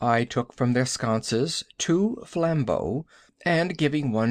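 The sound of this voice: The clip has an unforced reading voice. That is the delivery throughout.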